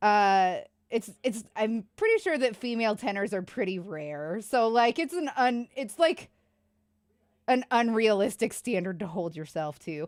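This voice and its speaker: Lively intonation in a woman's fairly high-pitched voice. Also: fairly slow pace. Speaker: streamer. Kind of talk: casual chat.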